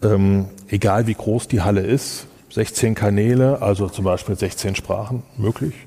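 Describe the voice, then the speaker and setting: Dark and mellow in tone, a man's fairly low, somewhat breathy voice moves at a fairly slow pace. His intonation stays fairly even. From Germany, Kassel (northern Hesse). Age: 50s. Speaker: event technology company owner. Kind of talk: interview.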